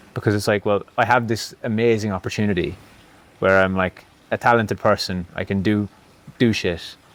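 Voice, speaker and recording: A man's fairly low voice with an Irish accent, fairly quick and fairly even in intonation. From Ireland. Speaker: former pro cyclist turned barber educator. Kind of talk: casual podcast conversation. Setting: in-person podcast filmed in Bali.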